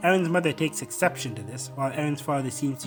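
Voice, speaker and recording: A man talks very fast with ordinary pitch variation while music plays in the background. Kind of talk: video essay narration.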